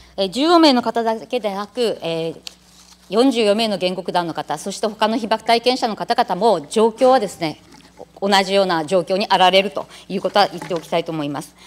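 A woman talks at a moderate pace with lively intonation. Her loudness swings widely. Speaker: city council member. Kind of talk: parliamentary questioning. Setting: council chamber. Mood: indignant, critical. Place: hall.

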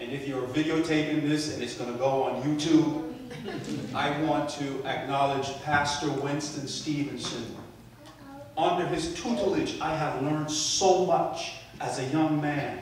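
Strong room echo and light background noise accompany a man speaking fairly slowly with fairly even intonation. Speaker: preacher. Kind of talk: sermon. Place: church.

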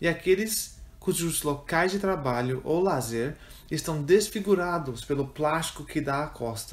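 A man talks in a plain, everyday voice at a fairly high pitch. His pace is fairly slow. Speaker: prayer reader. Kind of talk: fervent prayer, read aloud as a communal intercession. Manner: solemn, earnest, slow and reverent, with pleading intensity.

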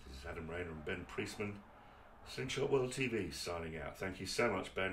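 A man speaks with an English accent at a fairly quick pace. Light background noise is audible. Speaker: video host. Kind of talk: casual presenting, filming a workshop tour. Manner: animated, chatty. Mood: enthusiastic, admiring. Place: workshop.

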